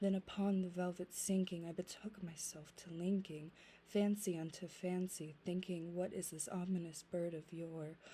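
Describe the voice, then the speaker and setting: A soft-spoken woman's fairly low, dark, mellow, somewhat breathy voice, monotone and flat, at a moderate pace with hardly any pauses. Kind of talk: poetry reading, ASMR.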